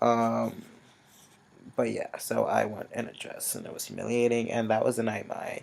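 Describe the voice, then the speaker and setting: The delivery has a moderate pace with long, frequent pauses. The loudness swings widely. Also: man. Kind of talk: casual chat. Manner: halting.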